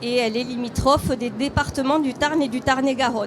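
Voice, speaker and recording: A woman with a high voice talks through noticeable background noise. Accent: southern French. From southern France. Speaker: hospital deputy director. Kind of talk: conference presentation.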